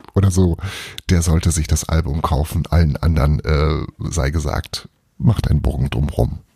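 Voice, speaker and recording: A man talks at a moderate pace in a dark, mellow tone with vocal fry. The recording is dry and close, with no echo. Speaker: podcast host. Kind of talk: casual monologue. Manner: quiet reading voice for the book passage.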